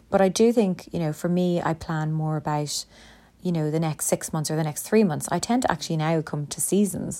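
A woman with a very deep, low pitch and a dark, mellow tone speaks at a fairly quick pace with ordinary pitch variation. The recording is very clean, with a silent background. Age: 40s. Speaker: podcast host, lecturer and business owner. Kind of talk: solo monologue podcast, self-help talk. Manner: conversational with many fillers.

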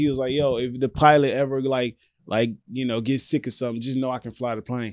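A man at a medium pitch, with a plain, everyday voice, talks at a fairly quick pace against a quiet background. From Louisiana, US South. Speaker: comedian, social media creator. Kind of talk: casual chat. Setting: studio.

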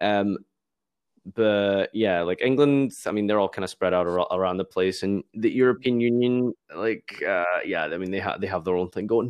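In a Glaswegian accent, a man with a fairly low pitch talks at a moderate pace. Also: ordinary pitch variation. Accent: Glaswegian Scottish. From Scotland, Glasgow. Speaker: YouTuber and streamer. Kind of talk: casual interview chat.

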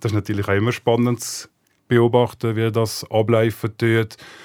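In a very clean recording with a silent background, a man talks at a moderate pace. His medium-pitched voice stays monotone and flat. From Switzerland, rural village. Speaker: talent agent. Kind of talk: casual interview.

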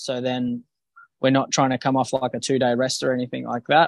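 A man with an Australian accent speaks at medium pitch and a moderate pace. The sound is dry and close with no echo, on a very clean recording with a silent background. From Western Australia, Bunbury. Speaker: professional boxer. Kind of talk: interview.

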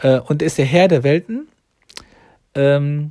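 A man speaks at a fairly slow pace, his pitch fairly high. His tone is dark and mellow. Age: 40s. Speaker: religious podcaster. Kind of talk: religious monologue. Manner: halting, many fillers.

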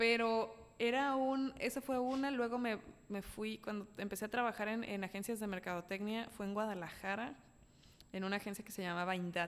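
A woman with a normal speaking voice and a fairly high pitch, ordinary pitch variation and a moderate pace. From Mexico City. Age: 20s. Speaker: comedian and YouTuber. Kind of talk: casual chat.

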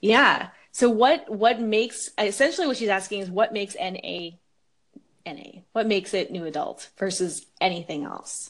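A woman's unremarkable speaking voice, at a moderate pace with lively intonation, over a quiet background. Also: medium pitch for a woman, big swings in loudness. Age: 20s. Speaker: podcast host. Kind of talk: casual chat.

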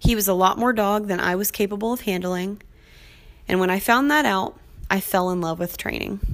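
This plain, everyday voice moves at a fairly quick pace with ordinary pitch variation. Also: woman, medium pitch for a woman. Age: 20s. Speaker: podcast host and dog trainer. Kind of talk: casual solo podcast intro.

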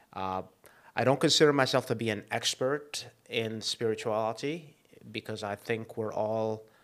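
A man with a normal speaking voice talks at a moderate pace at a medium pitch, his intonation fairly even. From Egypt, moved to US at fifteen. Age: 50s. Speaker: chiropractor. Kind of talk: casual chat.

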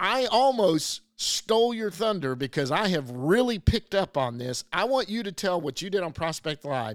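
A man with an American accent talks at a moderate pace in a high voice, with very wide pitch swings and hardly any pauses, on a very clean recording with a silent background. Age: 50s. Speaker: podcast host and baseball blogger. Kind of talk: casual chat.

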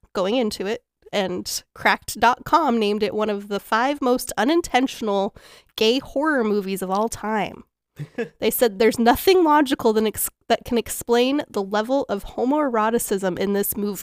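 A woman with an unremarkable speaking voice talks at a moderate pace and a fairly high pitch, recorded very cleanly with a silent background and a dry, close sound with no echo. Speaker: podcast host. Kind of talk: casual chat, comedic movie review. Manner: giggly, laughs often.

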